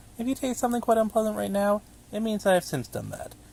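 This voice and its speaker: A man speaks with noticeable background noise in the recording. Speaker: hobby narrator of horror documents. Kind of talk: fictional letter read aloud.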